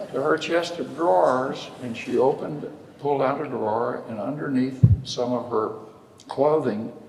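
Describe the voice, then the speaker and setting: There's audible room echo and noticeable background noise as a man speaks. His medium pitch shows ordinary variation at a moderate pace. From West Texas. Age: 80s+. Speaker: lawyer. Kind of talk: storytelling in a public conversation. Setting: church sanctuary with audience.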